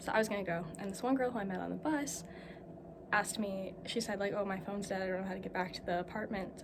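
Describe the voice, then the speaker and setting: With noticeable background noise and audible room echo, a woman of medium pitch talks at a very fast pace with ordinary pitch variation. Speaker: book vlogger. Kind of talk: casual vlog. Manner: animated.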